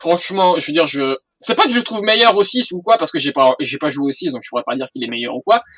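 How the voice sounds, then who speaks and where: The tone is bright and sharp, with very wide pitch swings. The pace is fairly quick, and the sound is dry and close with no echo. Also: man. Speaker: gaming YouTuber. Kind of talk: let's play commentary. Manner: halting, repeats words; stutters when unsure.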